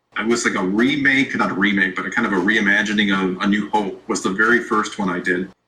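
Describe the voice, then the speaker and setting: This man talks at a very fast pace with hardly any pauses, his pitch fairly low and his intonation fairly even. His tone is bright and sharp. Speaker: YouTube creator, interview guest. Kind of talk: casual interview chat. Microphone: poor sound setup.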